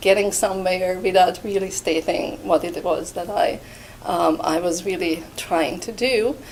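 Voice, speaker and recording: A woman with a non-native accent talks at a moderate pace and medium pitch. Background noise is noticeable. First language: Hungarian. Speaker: art history professor. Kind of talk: interview monologue. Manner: hesitant with fillers.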